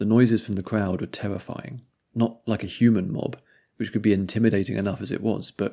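Against a quiet background, the text is read aloud in a natural voice whose intonation stays fairly even.

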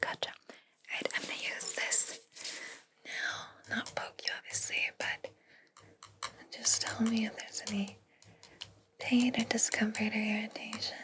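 There are long, frequent pauses in this woman's speech. She is whispering at a fairly slow pace. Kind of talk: soft-spoken roleplay talk to viewer. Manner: soft, hushed close-mic ASMR voice. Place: home room.

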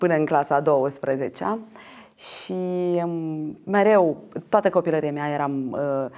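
Fairly slow speech from a woman with a very deep, low pitch and ordinary pitch variation, against a quiet background. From Moldova, Ștefan Vodă district; Moldova. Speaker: actress and theatre director; interview guest. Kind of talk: interview. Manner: halting. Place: studio. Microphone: lapel.

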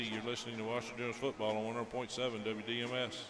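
Noticeable background noise runs behind a man as he talks. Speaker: radio sports play-by-play announcer. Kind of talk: radio sports commentary, play-by-play. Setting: stadium broadcast booth, live radio. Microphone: headset.

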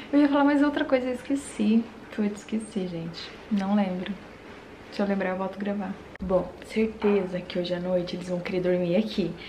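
With light background noise, the speaker goes at a moderate pace with ordinary pitch variation. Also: woman. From Brazil. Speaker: vlogger, mother of twins; vlogger. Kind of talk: casual home vlog. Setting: at home. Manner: animated. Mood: cheerful, relaxed. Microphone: phone near.

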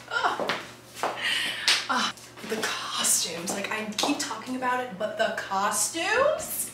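A woman with an American accent speaks at a very slow pace. Loud background noise and audible room echo fill the recording. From Maryland. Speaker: actress. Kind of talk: casual vlog talk to camera. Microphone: phone near.

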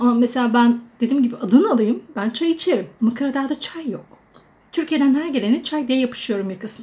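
The pace is moderate. Pitch variation is ordinary. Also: woman. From Turkey, Adana; Turkey. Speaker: vlogger; expat vlogger. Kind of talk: casual vlog monologue. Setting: indoors at home during a storm. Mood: warm, chatty, amused. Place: kitchen. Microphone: phone near.

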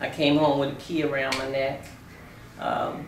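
At a moderate pace, a woman speaks with a very deep, low pitch, over light background noise and audible room echo. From Baltimore, US Mid-Atlantic. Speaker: retiree sharing life story. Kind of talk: oral history interview. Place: home room. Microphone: camera far.

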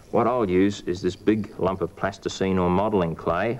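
This is a man speaking. He goes at a moderate pace. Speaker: presenter. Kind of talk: tutorial. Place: studio.

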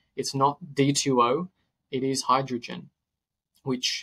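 The sound is dry and close, with no echo. A man speaks with an Australian accent. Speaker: nutritionist and health podcaster. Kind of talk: interview conversation. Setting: podcast recording.

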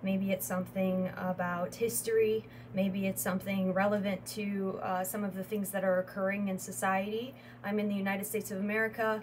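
A woman with a Chicago accent and monotone, flat intonation, over light background noise. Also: fairly quick pace. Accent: US Midwestern (Chicago area). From Northwest Indiana, US Midwest. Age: 20s. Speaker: wellness entrepreneur and YouTuber. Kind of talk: channel introduction monologue. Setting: solo video recording. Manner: halting with frequent fillers. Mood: calm, warm, proud. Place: home room. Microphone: phone near.

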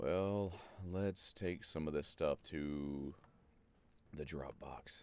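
Speaking at a very slow pace with long, frequent pauses, a man is heard in a dry recording with no echo. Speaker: video game streamer. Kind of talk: gaming livestream chat. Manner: deliberately lowered pitch. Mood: joking, relaxed. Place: home room.

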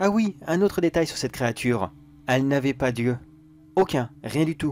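A man speaks with lively intonation. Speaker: creepypasta narrator. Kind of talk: horror story narration in first person. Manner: halting, anxious, repeating words.

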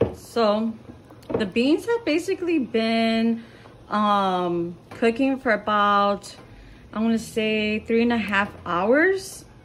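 Over light background noise, a woman with a fairly high, somewhat breathy voice speaks at a very slow pace. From Mexico, Zacatecas (family roots). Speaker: cooking YouTuber. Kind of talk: cooking tutorial. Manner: casual, frequent fillers. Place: kitchen. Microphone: phone near.

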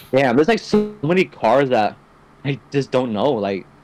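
A man at medium pitch, with very wide pitch swings and a moderate pace, over noticeable background noise. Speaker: gaming podcast co-host. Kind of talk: casual chat. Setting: online voice call.

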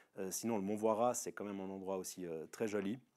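The background is quiet. A man with a fairly low pitch talks at a moderate pace. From Switzerland, Veveyse district, canton of Fribourg; Fribourg, Switzerland. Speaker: local resident; interviewee. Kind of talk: casual personal testimony. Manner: hesitant, many filler sounds. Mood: relaxed, telling anecdote. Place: open country. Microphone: lapel.

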